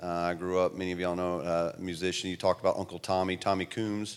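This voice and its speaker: A man with a Southern US accent talks very fast in a very deep, low voice with monotone, flat intonation, on a very clean recording with a silent background. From US South. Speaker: missionary relief worker.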